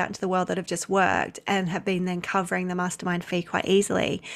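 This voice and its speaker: On a very clean recording with a silent background, a woman with an Australian accent and a medium pitch talks at a very fast pace. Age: 30s. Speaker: maternity leave coach. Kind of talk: casual chat.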